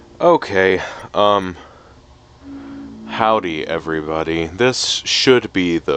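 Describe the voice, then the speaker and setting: Music plays behind a man whose voice is very deep and low, with lively intonation. He speaks very slowly, leaving long, frequent pauses. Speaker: gaming YouTuber. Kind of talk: casual gameplay commentary. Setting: home recording, low quality mic.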